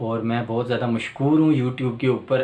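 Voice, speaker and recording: Intonation stays fairly even throughout. The speaker is a man. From Pakistan, Rawalpindi. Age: 40s. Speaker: electrician and YouTuber. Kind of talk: channel introduction monologue. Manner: hesitant with filler sounds.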